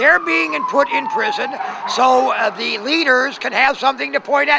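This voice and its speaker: A man's raised, projected voice at an extremely high pitch, with very wide pitch swings, a moderate pace and noticeable background noise. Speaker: homeless man. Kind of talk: street interview. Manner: hesitant, many filler sounds.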